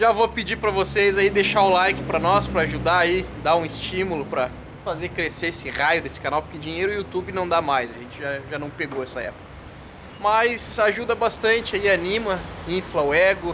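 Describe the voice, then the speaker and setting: Noticeable background noise sits under a man's high-pitched voice. He talks at a fairly quick pace. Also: ordinary pitch variation. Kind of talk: casual vlog chat. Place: workshop. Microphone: phone near.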